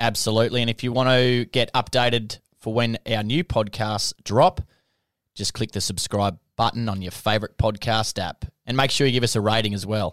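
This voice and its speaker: Very clean and silent in the background, with a dry, close sound and no echo, the recording features a man with an Australian accent at a medium pitch and fairly even intonation. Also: moderate pace. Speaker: podcast host. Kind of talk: casual interview chat.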